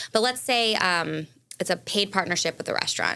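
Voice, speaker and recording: A woman speaks in a bright, sharp tone at a fairly quick pace. The recording is very clean, with a silent background. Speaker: food influencer. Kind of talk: casual interview. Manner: fast.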